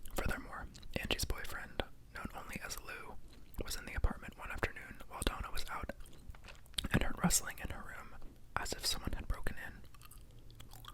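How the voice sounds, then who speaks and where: Whispering at a moderate pace, a man leaves long, frequent pauses, his loudness swinging widely, with noticeable background noise behind him. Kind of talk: read-aloud true horror story. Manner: whispered.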